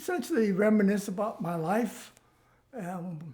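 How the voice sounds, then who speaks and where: A man talks very slowly with a dark, mellow tone and ordinary pitch variation. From US West Coast, Los Angeles. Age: 90s. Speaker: oral history interviewee. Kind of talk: life story interview. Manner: halting, many fillers.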